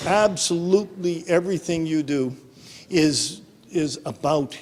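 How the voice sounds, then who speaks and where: The speaker is a man. His voice has a fairly high pitch. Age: 60s. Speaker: professor. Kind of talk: interview. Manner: halting, many fillers and repeats.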